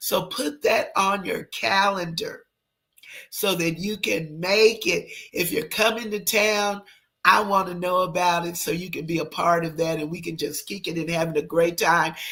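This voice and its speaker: A woman with a fairly low pitch and ordinary pitch variation speaks at a moderate pace in a bright, sharp, animated tone. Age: 60s. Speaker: livestream host. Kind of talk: casual livestream chat.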